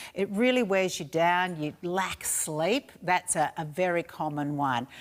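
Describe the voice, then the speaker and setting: The speaker has an Australian accent and lively intonation. The pace is fairly slow. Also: woman, fairly low pitch for a woman. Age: 60s. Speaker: shopping channel presenter. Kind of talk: sales pitch.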